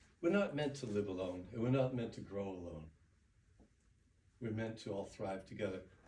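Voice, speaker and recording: Here a man speaks fairly quickly at medium pitch. His voice is somewhat breathy, with lively intonation. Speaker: public speaker. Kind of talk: speech contest address. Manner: reflective.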